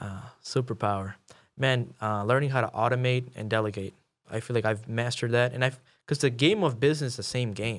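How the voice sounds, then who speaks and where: A man with a medium pitch and a plain, everyday voice speaks at a fairly quick pace with fairly even intonation on a very clean recording with a silent background. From Chicago. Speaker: real estate investor. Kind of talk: podcast interview.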